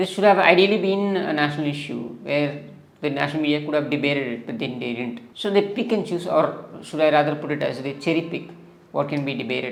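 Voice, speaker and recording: Vocal fry runs through a man's speech, which has ordinary pitch variation and audible room echo. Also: fairly high pitch for a man, fairly quick pace. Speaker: political YouTuber. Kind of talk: political commentary monologue. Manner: hesitant, many fillers.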